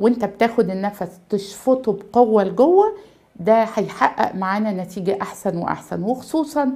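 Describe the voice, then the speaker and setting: A woman with an Egyptian accent speaks in a fairly high pitch with ordinary pitch variation. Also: moderate pace. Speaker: pediatrics professor and chest allergy consultant; pediatrics professor. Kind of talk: medical tutorial. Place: office.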